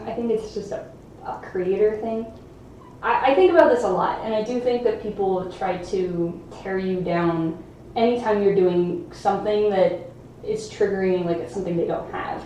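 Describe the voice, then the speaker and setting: A woman speaks at a moderate pace with ordinary pitch variation, with audible room echo and noticeable background noise around her. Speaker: juggling YouTuber streaming live. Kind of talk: casual live stream chat. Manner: casual, hesitant with fillers.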